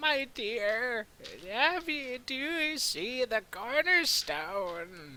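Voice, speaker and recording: A put-on character voice at a fairly high pitch moves at a very slow pace. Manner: put-on, quavery.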